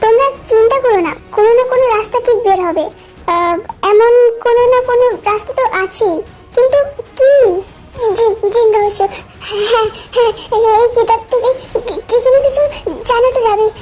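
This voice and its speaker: A put-on character voice at a moderate pace with ordinary pitch variation, over clear music in the background. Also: woman, extremely high pitch for a woman. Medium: fan dub. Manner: calm, soothing.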